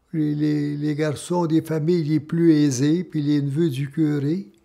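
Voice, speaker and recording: A man with a Quebec accent, fairly high in pitch, dark and mellow in tone, very slow and flat in intonation. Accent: rural Quebec French. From Quebec, Laurentians (Saint-Rémi-d'Amherst). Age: 90s. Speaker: former miner. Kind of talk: testimony. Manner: halting.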